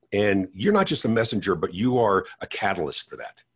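Over a quiet background, a man speaks in a somewhat breathy voice with very wide pitch swings. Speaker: podcast host. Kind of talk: casual interview.

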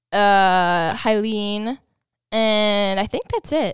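A woman's fairly high voice with an American accent, very slow, with ordinary pitch variation, in a very clean recording with a silent background and a dry, close sound free of echo. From Minnesota. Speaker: podcast guest.

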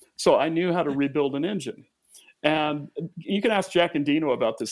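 A man with a plain, everyday voice talks at a fairly quick pace, his fairly high pitch showing ordinary pitch variation. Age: 50s. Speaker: musician and producer. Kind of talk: interview.

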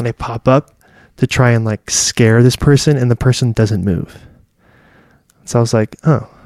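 Using an American accent, a man talks at a medium pitch and moderate pace with fairly even intonation. He takes long, frequent pauses, and the sound is dry and close with no echo. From California. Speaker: guest sharing cultural and personal stories. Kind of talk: casual chat.

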